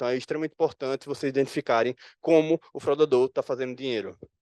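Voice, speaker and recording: The recording of this man's voice is dry and close, with no echo at all. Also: quiet background. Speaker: security analyst presenting at conference. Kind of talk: conference talk. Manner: fast.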